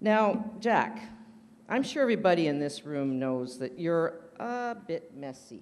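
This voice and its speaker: At a fairly slow pace, a woman talks in a fairly low pitch with very wide pitch swings. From Canada. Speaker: roaster. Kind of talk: stand-up. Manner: loud. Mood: playful, teasing. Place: hall. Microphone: podium.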